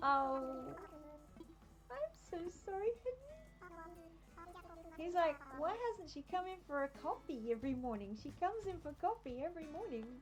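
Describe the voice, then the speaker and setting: Music plays in the background behind a woman with a high pitch. Her voice swings very widely in pitch, with long, frequent pauses. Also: moderate pace. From Australia. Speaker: game streamer. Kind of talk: casual gameplay livestream chat. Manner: animated.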